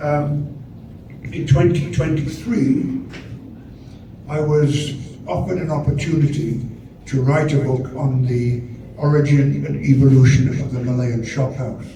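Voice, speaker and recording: The speech has fairly even intonation and long, frequent pauses, with noticeable background noise and audible room echo. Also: man, fairly high pitch for a man, fairly slow pace. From northern England, Sheffield, Yorkshire. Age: 80s+. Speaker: architecture professor and author. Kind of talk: talk. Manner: halting, many hesitations and repetitions.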